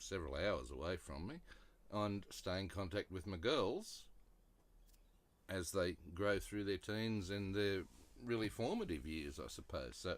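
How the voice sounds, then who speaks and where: With an Australian accent and vocal fry, a man speaks at a fairly slow pace and fairly low pitch, with lively intonation and long, frequent pauses. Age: 60s. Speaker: vlogger. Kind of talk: casual talk to camera.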